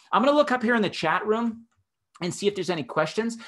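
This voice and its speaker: There is a quiet background behind this man speaking with an American accent. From Massachusetts. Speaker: health scientist and entrepreneur; presenter. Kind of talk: webinar presentation; live Q&A. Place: home room. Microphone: webcam.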